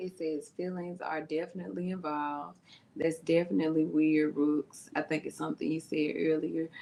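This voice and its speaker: A woman speaks with a Memphis accent at a moderate pace. Her very deep, low voice has a dark, mellow tone and ordinary pitch variation. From US South (Memphis, Tennessee). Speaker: youtube reaction host, therapist. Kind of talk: live reaction chat. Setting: livestream.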